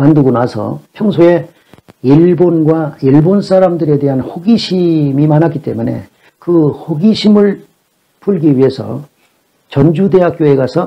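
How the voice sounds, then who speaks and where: The clip has a plain, everyday voice. It moves at a fairly slow pace. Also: man. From South Korea, Jeolla (Gunsan/Jeonju). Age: 60s. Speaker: Chinese classics lecturer. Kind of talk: lecture. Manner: formal.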